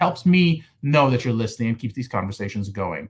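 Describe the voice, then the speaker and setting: A very fast, somewhat breathy man. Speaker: podcast host. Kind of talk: podcast interview.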